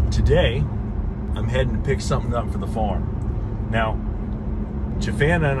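A man talks over loud background noise. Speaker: house-build vlogger. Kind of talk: casual vlog chat. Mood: relaxed, joking. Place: car. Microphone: phone near.

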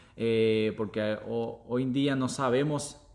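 A man speaking at a very slow pace. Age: 30s. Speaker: former police officer turned online entrepreneur. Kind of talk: casual chat on live stream. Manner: halting.

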